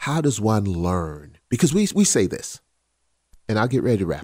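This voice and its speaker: A man with an American accent speaks at a moderate pace in a fairly low pitch, using an unremarkable speaking voice. His intonation is lively. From South Carolina. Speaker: podcast co-host. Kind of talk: casual chat.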